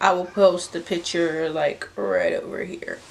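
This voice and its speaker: Amid noticeable background noise, a woman talks at a very slow pace. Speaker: beauty vlogger. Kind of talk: product unboxing vlog. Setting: home, filming in front of a mirror.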